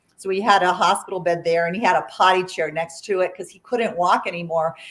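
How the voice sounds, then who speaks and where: A woman talks at a very fast pace. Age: 60s. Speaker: artist, author and plant-based chef. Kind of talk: interview storytelling. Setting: livestreamed interview. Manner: conversational with fillers.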